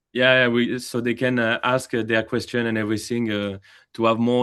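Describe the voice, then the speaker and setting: Against a quiet background, a man with a French accent speaks at a medium pitch. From France. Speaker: AI company representative. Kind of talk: webinar Q&A. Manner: hesitant, many fillers.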